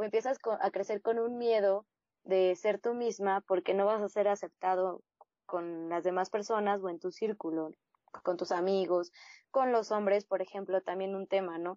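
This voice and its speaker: A woman's normal speaking voice, medium in pitch, at a moderate pace with fairly even intonation. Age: 30s. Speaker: blogger. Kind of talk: interview testimony.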